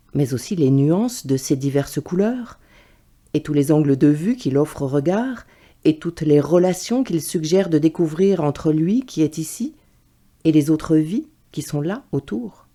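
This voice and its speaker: A woman with a very deep, low pitch speaks at a fairly slow pace with lively intonation while music plays in the background. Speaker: voice reader. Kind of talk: essay reading.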